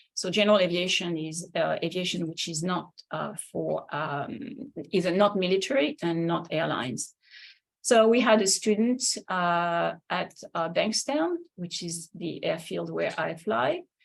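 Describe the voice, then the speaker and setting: In a French accent, a woman with fairly low pitch and vocal fry talks fairly slowly with lively intonation, on a very clean recording with a silent background. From France. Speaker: linguist and flight instructor. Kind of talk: lecture. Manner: halting.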